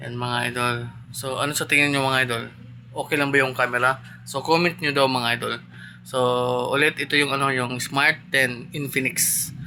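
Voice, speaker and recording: Quiet and at a moderate pace, a man speaks with a bright, sharp tone, a medium pitch, and a flat, monotone intonation. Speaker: tattoo artist vlogger. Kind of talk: casual vlog. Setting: indoors at home, mini shop.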